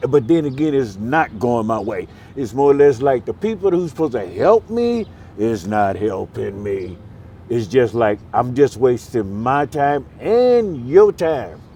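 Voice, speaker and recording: Pitch swings very widely in this dark, mellow voice. The speaker uses an American accent and a fairly slow pace. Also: man. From US Midwest, Milwaukee, Wisconsin. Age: 60s. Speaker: homeless man. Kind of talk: street interview. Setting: outdoors on a street corner.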